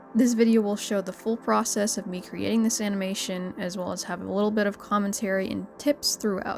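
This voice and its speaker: A woman speaks at a medium pitch with fairly even intonation. Her fairly quick delivery comes through noticeable background noise. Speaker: animator. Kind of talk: casual tutorial commentary. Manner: mumbles sometimes.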